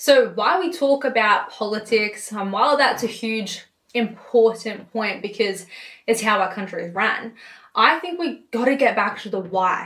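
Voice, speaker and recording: This woman speaks with an Australian accent at a moderate pace, her pitch fairly high. Her intonation is lively and her tone animated. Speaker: political commentator. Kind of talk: political rant.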